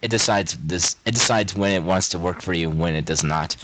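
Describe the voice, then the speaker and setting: This man has a very deep, low voice and an American accent. He talks at a fairly quick pace with ordinary pitch variation. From Ohio, US. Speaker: podcast guest, gamer. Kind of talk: casual chat. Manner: animated.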